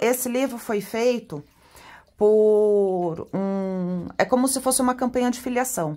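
Animated in tone, a woman with a fairly high pitch and ordinary pitch variation speaks at a fairly slow pace. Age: 30s. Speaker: tarot reader and teacher. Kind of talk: product unboxing video.

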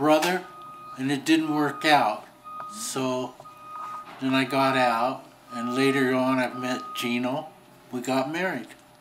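A man speaks at a very slow pace with ordinary pitch variation. Noticeable background noise runs underneath. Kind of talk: interview answer. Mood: warm, nostalgic, laughing. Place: home room. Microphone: camera far.

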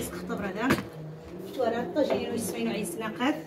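Loud background noise fills the clip. Through it, a woman talks. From Morocco. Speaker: cooking vlogger. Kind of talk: casual vlog chat while cooking.

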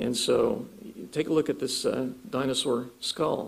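A man's voice with an American accent. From Ohio, US Midwest. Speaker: creationist speaker and author. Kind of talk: lecture; Q&A answers. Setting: church conference with audience.

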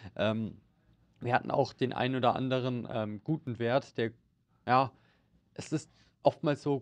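This man's intonation is fairly even. He keeps to a moderate pace. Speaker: stock market analyst. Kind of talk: market update discussion. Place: studio. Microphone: studio mic.

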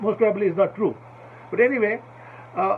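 Over light background noise, a man speaks with a high pitch and fairly even intonation. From India. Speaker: viewer asking a question; commentator. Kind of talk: recorded question. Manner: halting. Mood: earnest, appealing. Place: home room. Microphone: webcam.

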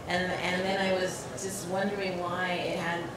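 Amid noticeable background noise and audible room echo, a woman speaks at a fairly slow pace. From California. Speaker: filmmaker and artist. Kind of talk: panel discussion. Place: hall.

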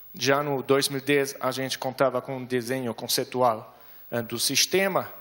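A man with a German accent, fairly even intonation and a moderate pace against a quiet background. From Germany. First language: German (speaking Portuguese). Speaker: development bank specialist presenting at a conference; conference presenter. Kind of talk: conference presentation. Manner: hesitant, many fillers. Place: hall. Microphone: handheld.

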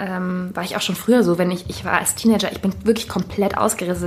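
A woman's somewhat breathy voice. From Germany, small town. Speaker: podcast host. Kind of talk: casual chat.

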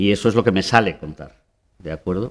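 The speaker is a man with a fairly low pitch. It shows ordinary variation. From Spain. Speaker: theatre director; interviewee. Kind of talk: interview. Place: hall.

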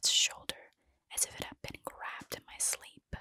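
A soft-spoken woman is whispering. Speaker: storyteller. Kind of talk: narrated horror story reading. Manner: soft close-mic whisper, eerie tale. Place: home room. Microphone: studio mic.

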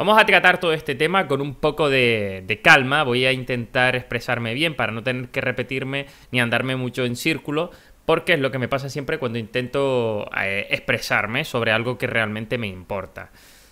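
A man talks at a moderate pace in a bright, sharp tone. His pitch variation is ordinary. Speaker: gaming youtuber. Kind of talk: casual vlog talk. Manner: quieter than usual. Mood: earnest, serious. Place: home room. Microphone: webcam.

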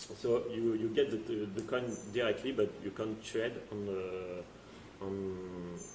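A man at a very slow pace, somewhat breathy, with fairly even intonation, audible room echo and light background noise. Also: fairly low pitch for a man. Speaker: company CEO. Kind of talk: interview. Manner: halting, repeats words. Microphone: video call.

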